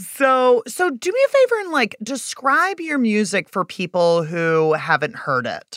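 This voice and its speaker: A woman with a fairly high pitch swings very widely up and down. She talks fairly slowly, with hardly any pauses. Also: very clean recording, silent background. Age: 40s. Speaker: podcast host. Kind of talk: casual interview chat.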